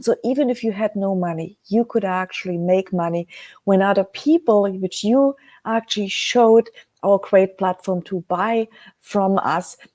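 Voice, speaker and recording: A woman speaks in a dark, mellow tone with a German accent. The sound is dry and close, with no echo. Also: medium pitch for a woman, ordinary pitch variation. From Germany. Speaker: webcast host, precious metals business. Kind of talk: live webcast talk. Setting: live stream. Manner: slow; hesitant, many fillers.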